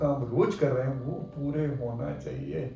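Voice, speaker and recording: Audible room echo follows a man's voice, which sits fairly high in pitch. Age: 70s. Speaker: orthopedic doctor. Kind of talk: interview.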